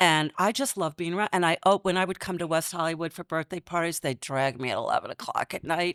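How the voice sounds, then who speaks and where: A woman's ordinary speaking voice, fairly low in pitch with ordinary pitch variation and a fairly quick pace, in a very clean recording with a silent background and a dry, close sound with no echo. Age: 60s. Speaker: podcast co-host. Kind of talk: casual chat.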